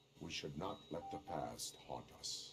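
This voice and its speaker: A man's put-on character voice at a fairly slow pace, clear background noise behind it. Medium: video game. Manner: flat, formal, deadpan.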